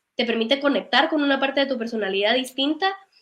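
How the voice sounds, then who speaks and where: A woman is speaking. Her pitch is high, with ordinary pitch variation. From Guatemala, Guatemala City. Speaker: singer-songwriter. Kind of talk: interview conversation.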